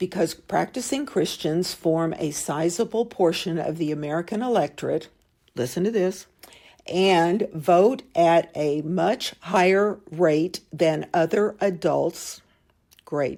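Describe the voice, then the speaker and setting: A woman's fairly low voice with a dark, mellow tone, ordinary pitch variation and a very slow pace, on a very clean recording with a silent background. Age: 70s. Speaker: podcast host. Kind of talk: political commentary podcast.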